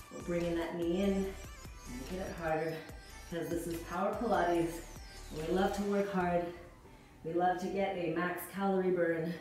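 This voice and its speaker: A woman speaks at a moderate pace in a fairly low voice with fairly even intonation, her words ringing with strong room echo over clear background music. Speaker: fitness instructor. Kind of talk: workout instruction cueing. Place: home room.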